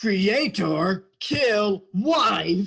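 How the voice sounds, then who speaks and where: Pitched in the middle range, the voice is a put-on character voice. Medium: stage play. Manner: broken third-person speech.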